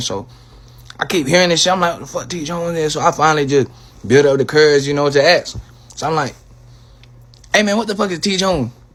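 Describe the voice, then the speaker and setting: Talking at a very fast pace, a man uses lively intonation with an American accent. Noticeable background noise runs underneath. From Florida. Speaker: social media poster. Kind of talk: casual vlog.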